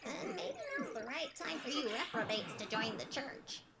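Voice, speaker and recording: Loud background noise surrounds a female-sounding, cartoonish character voice, fairly high-pitched and delivered at a moderate pace. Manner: cheeky, crude.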